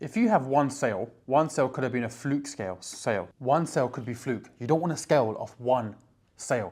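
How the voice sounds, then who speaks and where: On a very clean recording with a silent background, a man with a British accent speaks in an animated tone at a medium pitch with ordinary pitch variation. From UK. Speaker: online business coach. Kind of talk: casual direct-to-camera tutorial. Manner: fast.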